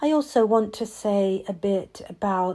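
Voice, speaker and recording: In an English accent, a woman speaks at a very slow pace and medium pitch, her tone calm, dark and mellow with ordinary pitch variation, in a very clean recording with a silent background. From England. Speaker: mindfulness and meditation teacher. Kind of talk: reflective podcast monologue. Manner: calm with many pauses.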